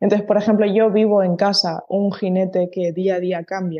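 Her pitch medium and her intonation monotone and flat, a woman moves at a fairly quick pace. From Spain, Canary Islands (Tenerife). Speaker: horse groom and stable manager. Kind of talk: interview conversation.

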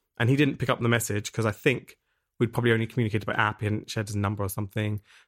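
Intonation is fairly even in this dry, close recording with no echo, spoken with an English accent. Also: man. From England. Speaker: musician. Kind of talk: casual chat.

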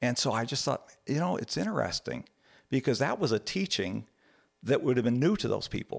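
In a very clean recording with a silent background and a dry, close sound with no echo, a man of medium pitch speaks at a fairly quick pace with lively intonation and vocal fry. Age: 60s. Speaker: church elder, father. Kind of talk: personal testimony in interview.

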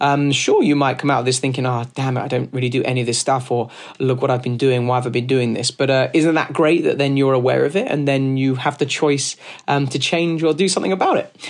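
Talking very fast with a London accent, a man uses a medium pitch and a passionate tone while keeping his loudness very even. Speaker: podcast host and business owner. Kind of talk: solo talk on business advice. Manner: fast talker, passionate; loud, animated.

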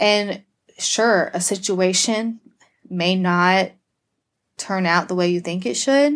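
In an American accent, a woman speaks at a medium pitch with ordinary pitch variation, going very slowly with long, frequent pauses. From US South, Georgia. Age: 30s. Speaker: podcast guest. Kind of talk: casual chat.

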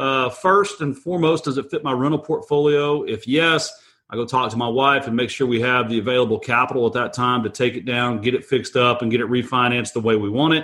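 A man with an American accent talks at a fairly quick pace and a medium pitch. He has a plain, everyday voice. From Texas. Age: 40s. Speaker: real estate investor. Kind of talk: casual interview. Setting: remote call from home.

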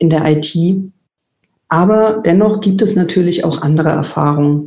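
Her voice is fairly low in pitch, with a dark, mellow tone. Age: 40s. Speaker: IT executive. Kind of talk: interview. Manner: frequent filler sounds.

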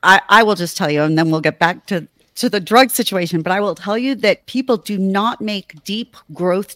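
Animated and at a medium pitch, a woman speaks at a moderate pace with ordinary pitch variation in a very clean recording with a silent background and a dry, close sound with no echo. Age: 50s. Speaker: sex educator and podcast host. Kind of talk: casual chat.

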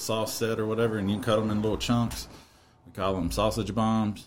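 In a Kentucky accent, a man with a fairly low pitch speaks at a fairly quick pace. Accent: Kentucky Southern. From Kentucky, near Bowling Green. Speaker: barbecue cook and healthcare worker. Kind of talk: casual chat.

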